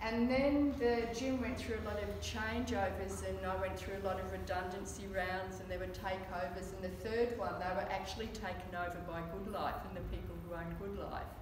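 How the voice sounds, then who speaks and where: The speech moves at a moderate pace with hardly any pauses, with audible room echo and noticeable background noise. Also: woman. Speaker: fitness trainer giving a talk. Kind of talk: presentation talk. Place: meeting room. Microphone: camera far.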